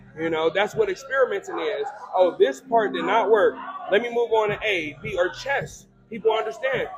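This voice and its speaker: A man with an American accent speaks at a moderate pace in a high voice whose pitch swings very widely, with noticeable background noise. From Cleveland, Ohio. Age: 30s. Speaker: life coach. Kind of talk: casual chat.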